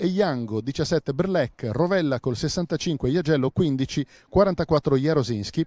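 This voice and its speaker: In a very clean recording with a silent background and a dry, close sound with no echo, a man with a fairly high pitch and a dark, mellow tone speaks at a very slow pace with ordinary pitch variation. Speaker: club TV commentator. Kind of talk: live sports commentary. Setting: stadium, friendly match. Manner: repeats key words for emphasis.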